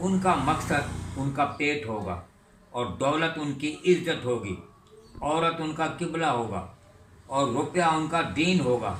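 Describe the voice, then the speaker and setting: A man speaks with a fairly high pitch and lively intonation. Noticeable background noise runs under his voice. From India, moved to Pakistan in 1947. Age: 80s+. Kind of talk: interview answer.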